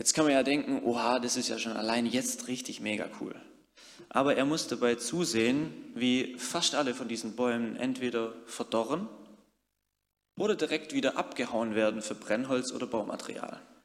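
Over audible room echo, a man speaks at medium pitch and a moderate pace with ordinary pitch variation. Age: 30s. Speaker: youth worker and lay preacher. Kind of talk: sermon.

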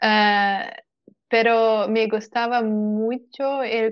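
A woman with a Portuguese accent. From Portugal. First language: Portuguese (speaking Spanish). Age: 20s. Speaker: software developer. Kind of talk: casual chat. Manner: halting.

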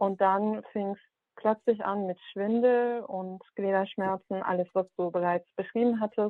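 Fairly even intonation marks a woman's voice, which sits at a medium pitch. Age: 30s. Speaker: caller with vaccine injury. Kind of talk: personal account and questions.

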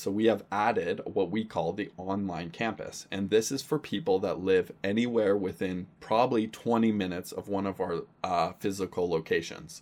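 The speech moves at a moderate pace with hardly any pauses and ordinary pitch variation. The recording is very clean, with a silent background. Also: man. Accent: Western Canadian. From Canada, Surrey, British Columbia. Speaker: pastor. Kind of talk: casual chat.

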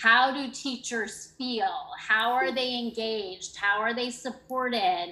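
A woman talks at a fairly slow pace while noticeable background noise fills the recording. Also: fairly high pitch for a woman, ordinary pitch variation. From Canada. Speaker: education program coordinator, former teacher. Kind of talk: interview.

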